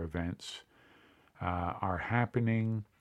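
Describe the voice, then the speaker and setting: The man's intonation stays fairly even. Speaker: podcast host on addiction recovery. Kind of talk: scripted narration.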